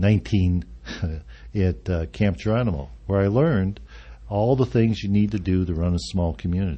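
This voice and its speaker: A man's very deep, low, somewhat breathy voice with an American accent, very wide pitch swings and a moderate pace. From Arizona. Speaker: senior living executive director. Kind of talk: radio interview. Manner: halting, many fillers.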